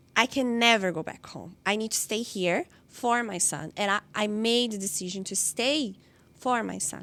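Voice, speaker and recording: A woman with a Brazilian accent speaks at a moderate pace in a fairly high, bright, sharp voice. The recording is very clean, with a silent background. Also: ordinary pitch variation. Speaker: interviewee sharing life story. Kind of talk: personal interview. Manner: halting, with fillers and repetitions.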